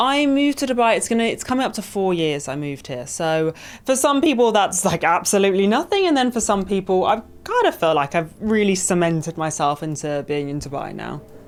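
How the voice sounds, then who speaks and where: A woman talks at a fairly quick pace in a London accent. Her medium-pitched voice swings very widely in pitch. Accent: British, London. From southern England, outside London. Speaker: entrepreneur and speaker. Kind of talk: interview.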